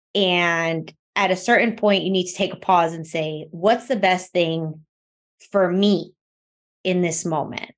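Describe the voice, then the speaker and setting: The speaker has a normal speaking voice. Delivery is fairly slow, with fairly even intonation. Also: woman, medium pitch for a woman. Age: 30s. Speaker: podcast co-host. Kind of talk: casual chat.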